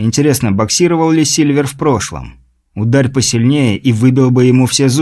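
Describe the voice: This plain reading aloud has ordinary pitch variation over a quiet background.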